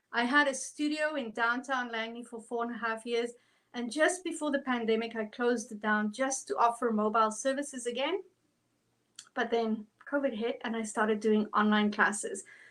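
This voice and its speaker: A woman with a South African accent speaks at a fairly high pitch and a moderate pace, with ordinary pitch variation. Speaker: art instructor. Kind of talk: tutorial. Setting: online livestream. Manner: animated.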